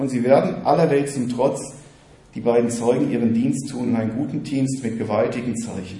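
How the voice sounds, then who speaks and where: Medium pitch, fairly even intonation, a man with a plain, everyday voice. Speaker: preacher. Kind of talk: sermon, teaching-style preaching to a congregation. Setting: church. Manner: earnest, fairly quick, warm and encouraging.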